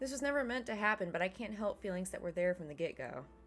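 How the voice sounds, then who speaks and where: With music in the background, a woman speaks at a fairly quick pace. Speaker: gaming let's play host reading visual novel aloud. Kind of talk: reading visual novel dialogue and narration aloud.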